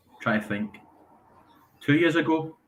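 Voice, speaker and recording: Here a man speaks with a Scottish accent. His pitch moves in an ordinary way. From Scotland. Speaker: caller, fan. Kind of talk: casual chat. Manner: hesitant, many fillers.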